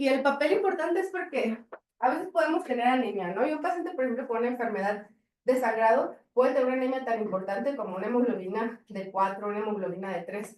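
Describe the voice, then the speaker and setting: A woman with a high pitch talks at a very fast pace with lively intonation. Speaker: pediatric hematologist lecturer. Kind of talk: lecture.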